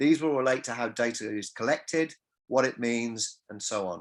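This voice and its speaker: With an English accent, a man talks at a moderate pace with ordinary pitch variation on a very clean recording with a silent background. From England. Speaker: music industry academic. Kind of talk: lecture. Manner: halting, repeats words.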